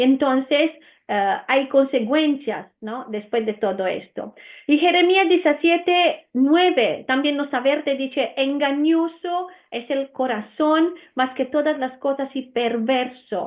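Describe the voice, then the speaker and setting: A woman's high-pitched voice with an Italian accent, ordinary pitch variation and a very slow pace. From Romania. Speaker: Bible teacher. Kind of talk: Bible teaching. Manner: hesitant, many fillers.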